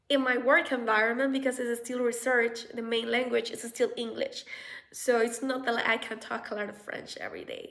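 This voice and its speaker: A woman with a Spanish accent, fairly high-pitched and fairly slow. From Colombia. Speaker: researcher and vlogger. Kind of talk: casual vlog advice. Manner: halting, with fillers.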